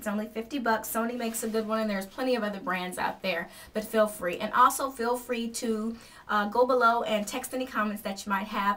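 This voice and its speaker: The speech moves at a very fast pace with ordinary pitch variation. Noticeable background noise is present. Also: woman. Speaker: acting and modeling vlogger. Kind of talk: tutorial.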